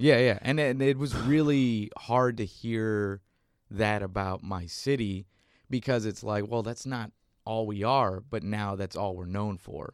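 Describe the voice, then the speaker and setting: At a fairly slow pace, a man with an American accent uses an ordinary speaking voice at a fairly low pitch with ordinary pitch variation, on a very clean recording with a silent background. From South Texas, McAllen border town. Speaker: comedian and writer. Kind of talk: casual chat.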